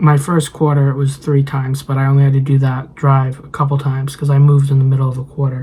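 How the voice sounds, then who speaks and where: Someone speaks at a very fast pace with hardly any pauses over noticeable background noise. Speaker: vlogger and nursing student. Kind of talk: casual vlog monologue. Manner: halting, many fillers.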